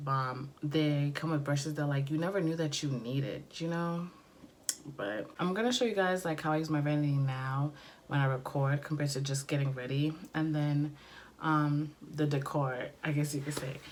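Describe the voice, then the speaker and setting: The voice has ordinary pitch variation. Audible room echo surrounds it. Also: woman, very deep, low pitch for a woman, moderate pace. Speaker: beauty vlogger. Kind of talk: casual vlog talk. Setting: bedroom filming nook. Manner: chatty with many fillers.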